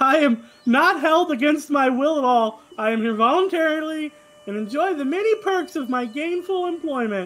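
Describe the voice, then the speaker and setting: High in pitch, a put-on character voice does the talking. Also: moderate pace. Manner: frantic.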